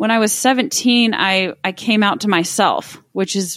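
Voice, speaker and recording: With a Texan accent, a woman speaks at a very slow pace on a very clean, dry, close recording with no echo and a silent background. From Texas, Midland. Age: 30s. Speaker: wealth manager. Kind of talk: casual chat.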